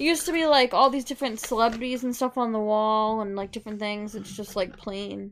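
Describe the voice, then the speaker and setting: With a normal speaking voice, a woman talks at a fairly quick pace and fairly high pitch, with ordinary pitch variation and hardly any pauses. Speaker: podcast host. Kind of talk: casual chat.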